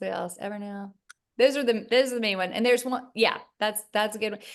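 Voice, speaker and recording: The background is quiet. In an American accent, a woman speaks. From US South, Charleston, South Carolina. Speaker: gynecologist. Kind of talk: interview. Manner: halting, many fillers.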